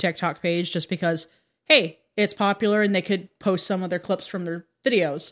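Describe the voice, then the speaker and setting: A woman speaks with a normal speaking voice and fairly even intonation. The recording is very clean, with a silent background. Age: 30s. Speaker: drag performer and goth. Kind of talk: casual chat. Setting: studio.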